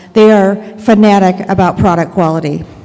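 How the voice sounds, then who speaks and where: Recorded with audible room echo and noticeable background noise, a woman talks at a medium pitch with ordinary pitch variation. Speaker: Amazon seller advocate, consultant. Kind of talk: conference presentation. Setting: stage with audience. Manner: many filler ums.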